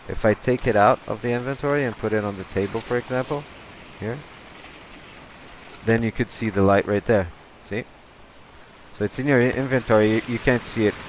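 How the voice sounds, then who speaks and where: Long, frequent pauses break up fairly quick speech with fairly even intonation. Noticeable background noise sits behind the voice. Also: man. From Brazil. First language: Portuguese. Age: 30s. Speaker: gaming youtuber. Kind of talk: gameplay commentary. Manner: halting, many repetitions; casual, chatty.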